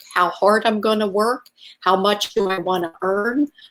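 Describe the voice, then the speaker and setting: Speaking fairly slowly in an unremarkable speaking voice, a woman keeps a fairly high pitch and fairly even intonation. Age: 60s. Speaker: network marketing entrepreneur. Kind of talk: live video sales pitch. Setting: livestream.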